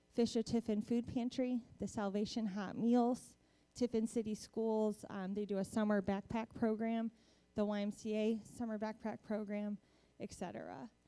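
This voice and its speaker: This woman has a dark, mellow tone at a fairly high pitch. Her intonation is monotone and flat. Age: young. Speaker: volunteer program coordinator. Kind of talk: presentation. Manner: fast.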